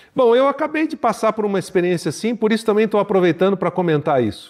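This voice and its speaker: A man talks with lively intonation. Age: 60s. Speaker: pastor and leadership teacher. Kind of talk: podcast teaching monologue.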